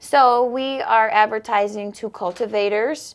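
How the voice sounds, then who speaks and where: Speaking fairly slowly in a General American accent with ordinary pitch variation, the voice comes through a very clean recording with a silent background. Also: woman. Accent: General American (Colorado). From Denver, Colorado. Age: 30s. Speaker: college student and business owner. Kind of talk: interview. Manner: casual conversational.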